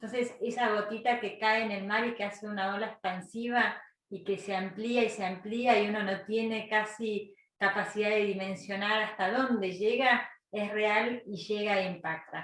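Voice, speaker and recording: Room echo is audible around a woman's voice. She has a fairly high pitch and speaks in a flat monotone. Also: moderate pace. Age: young. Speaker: lecturer. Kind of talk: lecture.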